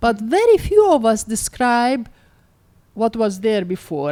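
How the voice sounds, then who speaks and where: With an Arabic accent and a dark, mellow tone, a woman speaks at a moderate pace with lively intonation. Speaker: author. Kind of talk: onstage author conversation.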